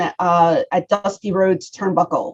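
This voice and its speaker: The woman has a strong Philadelphia accent. She speaks at a fairly slow pace. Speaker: professional wrestler. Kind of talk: interview.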